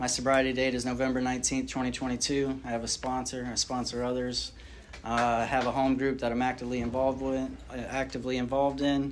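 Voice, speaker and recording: Speaking at a very fast pace in a Southern US accent, a man keeps a medium pitch and monotone, flat intonation amid audible room echo. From rural North Carolina, then Florida from age ten. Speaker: recovering addict sharing story. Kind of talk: recovery testimony. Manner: casual, halting with fillers.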